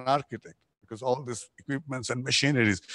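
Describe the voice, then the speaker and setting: With a Bangladeshi accent, a man speaks in a dry, close sound with no echo over a quiet background. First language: Bengali. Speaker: architect. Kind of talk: lecture.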